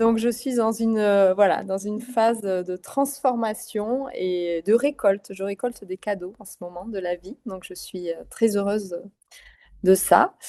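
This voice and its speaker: A woman's dark, mellow voice at a medium pitch with ordinary variation, a fairly slow pace, big swings in loudness, and a dry, close sound with no echo. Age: 40s. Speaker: psycho-nutritionist. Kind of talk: interview. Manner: lively, bubbly; halting, many fillers.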